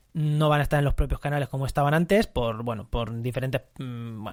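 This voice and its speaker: The recording is very clean with a silent background as a man speaks fairly quickly at a fairly high pitch. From Spain, La Mancha. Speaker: ecology podcast host. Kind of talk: solo podcast monologue. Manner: conversational, with frequent fillers and repetitions.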